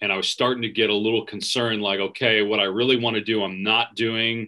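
Against a quiet background, a man has a bright, sharp tone with a fairly low pitch. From US Midwest (Wisconsin). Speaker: sports play-by-play announcer; podcast guest, sports announcer. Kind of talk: casual interview chat. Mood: warm, nostalgic, storytelling. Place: home room. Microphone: video call.

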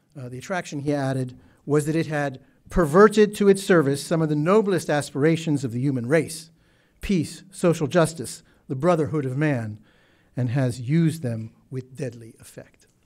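A man's fairly high-pitched voice with ordinary pitch variation and big swings in loudness, over a quiet background. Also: moderate pace. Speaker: Middle East historian. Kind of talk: prepared speech. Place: hall. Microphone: podium.

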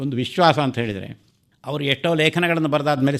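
A plain, everyday voice. Its pitch rises and falls an ordinary amount. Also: man. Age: 60s. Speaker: retired Kannada scholar and teacher. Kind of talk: radio interview, reminiscence.

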